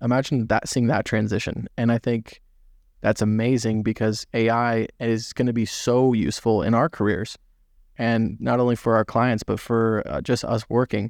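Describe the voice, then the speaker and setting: Against a quiet background, a man with an American accent and a normal speaking voice talks at a moderate pace and medium pitch, with fairly even intonation, very even loudness and a dry, close sound with no echo. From Southern California. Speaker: podcast host and veterinary student. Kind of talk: casual chat.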